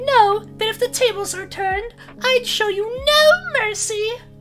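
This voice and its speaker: Over clear background noise, a man does a put-on character voice at an extremely high pitch, talking at a moderate pace. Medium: role play. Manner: exaggerated, villainous.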